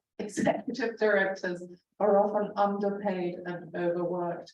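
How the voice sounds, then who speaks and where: With audible room echo, a woman speaks at a moderate pace and medium pitch in a monotone, flat intonation. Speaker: arts council director. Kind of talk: presentation. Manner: loud, projecting; halting, many fillers.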